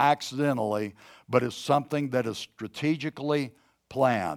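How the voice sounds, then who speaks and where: At a moderate pace, a man talks with a fairly high pitch in an unremarkable speaking voice. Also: dry, close sound with no echo. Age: 60s. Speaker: pastor. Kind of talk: sermon. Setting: church service, streamed online.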